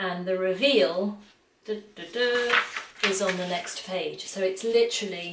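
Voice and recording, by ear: Pitch varies in an ordinary way. A natural voice reads the text aloud.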